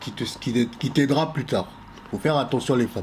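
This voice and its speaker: A man with an ordinary speaking voice talks at a fairly quick pace, his medium pitch showing ordinary variation. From Congo. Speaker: podcast panelist. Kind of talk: casual chat.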